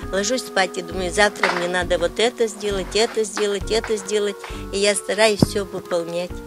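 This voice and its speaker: A woman's medium-pitched voice with fairly even intonation, dry and echo-free, over clear background music. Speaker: retired kindergarten teacher, home craftswoman. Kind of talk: casual interview answer to a reporter. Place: garden.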